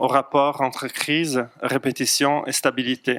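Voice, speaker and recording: With a non-native accent, a man speaks very slowly in a medium pitch, with flat, monotone intonation and a bright, sharp tone, in a dry, close sound with no echo. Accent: foreign accent in French. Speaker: psychologist. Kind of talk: lecture. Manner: hesitant, frequent fillers.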